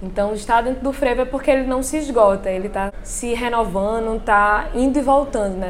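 There is noticeable background noise and audible room echo. A woman with a fairly high voice talks at a fairly quick pace, with ordinary pitch variation. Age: 20s. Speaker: dancer and dance student. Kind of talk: interview testimony.

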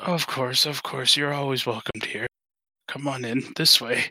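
Using a put-on character voice, a man talks at a moderate pace in a raspy, medium-pitched tone with fairly even intonation, the sound dry and close with no echo. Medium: actual play. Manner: slow, feeble, courteous.

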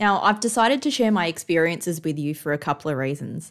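A woman speaks in a normal speaking voice, fairly low in pitch, at a fairly quick pace with lively intonation. The recording is very clean, with a silent background. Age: 30s. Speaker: podcast host, cancer patient. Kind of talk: scripted narration.

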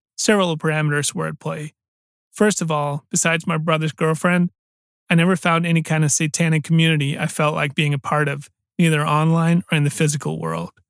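The recording is very clean with a silent background and a dry, close sound with no echo, as a man speaks flat and monotone at a fairly high pitch and fairly quick pace. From Denmark. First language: Danish. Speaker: podcast host and storyteller. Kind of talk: scripted storytelling narration.

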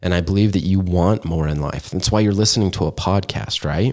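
A man with an American accent talks at a moderate pace in a very deep, low pitch, with an upbeat tone and ordinary pitch variation. The recording is very clean, with a silent background. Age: 20s. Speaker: podcast host and wealth coach. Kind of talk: pep talk. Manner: upbeat, earnest, motivational; animated, repetitive emphasis.

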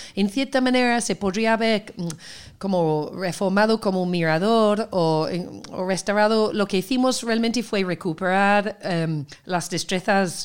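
Speaking fairly slowly, a woman has an unremarkable speaking voice, medium in pitch, with ordinary pitch variation. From Seville, Andalusia. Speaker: festival organizer, cultural producer. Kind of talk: casual interview.

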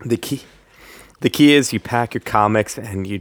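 A man talks with vocal fry. His pitch varies in an ordinary way.

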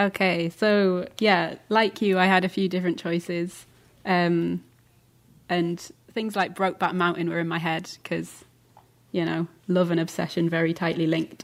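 Flat and monotone, a woman speaks in a Lancashire accent. Her voice is fairly low and her pace moderate. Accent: northern English (Lancashire). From England, Lancaster. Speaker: podcast host. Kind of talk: casual chat.

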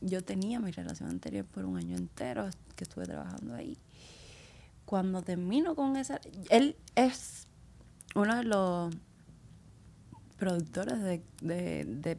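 A woman speaks at a fairly slow pace, with long, frequent pauses. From Cuba. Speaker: dancer. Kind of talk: interview conversation.

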